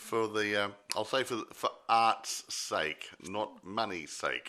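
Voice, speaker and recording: In an Australian accent, a man with a fairly low pitch and a bright, sharp tone speaks at a very slow pace with fairly even intonation. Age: 60s. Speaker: film review podcast co-host. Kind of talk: casual chat. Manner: halting.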